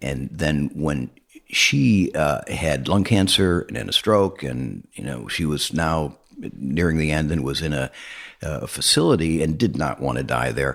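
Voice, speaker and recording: At a fairly slow pace, a man speaks with a very deep, low pitch. Vocal fry runs through his voice. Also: ordinary pitch variation. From Arizona, US West. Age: 70s. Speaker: educator on death and dying. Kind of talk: interview. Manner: halting.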